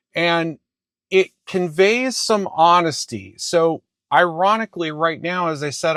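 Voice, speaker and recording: The man's voice comes through a very clean recording with a silent background, dry and close with no echo. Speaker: college instructor. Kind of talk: lecture. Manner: casual.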